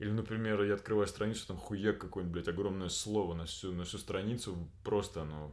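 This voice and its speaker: A fairly low-pitched man with fairly even intonation, talking at a fairly quick pace with hardly any pauses, in audible room echo. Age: 30s. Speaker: actor. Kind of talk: casual chat. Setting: home room recording with friend.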